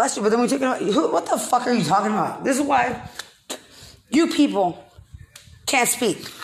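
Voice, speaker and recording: A woman with an American accent speaks at a high pitch, in an animated tone with lively intonation. Noticeable background noise is present. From Texas. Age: 40s. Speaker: podcaster. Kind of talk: monologue rant.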